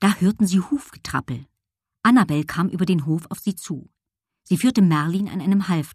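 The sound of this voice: An unforced reading voice with ordinary pitch variation sits over a quiet background.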